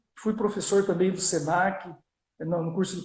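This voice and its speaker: A man's high-pitched voice in a strong São Paulo interior accent, with fairly even intonation. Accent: strong Piracicaba. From Brazil, Piracicaba (São Paulo state). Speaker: business coach and lecturer. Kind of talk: live-stream interview. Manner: halting, many fillers.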